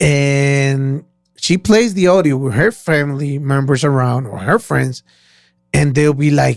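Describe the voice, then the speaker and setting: A man's fairly high voice with ordinary pitch variation, a fairly slow pace, and a Spanish accent. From Costa Rica. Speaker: podcast co-host. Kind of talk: casual chat. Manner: loud.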